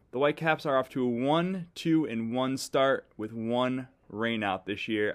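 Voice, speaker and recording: An animated man's voice at medium pitch with ordinary pitch variation. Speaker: podcast host. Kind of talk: casual chat. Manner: jokey, animated.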